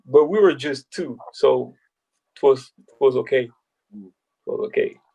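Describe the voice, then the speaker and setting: Speaking fairly slowly, a man lets his loudness swing widely. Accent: French. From France, Paris. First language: French. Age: 20s. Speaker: basketball player turned agent. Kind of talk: casual interview. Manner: halting.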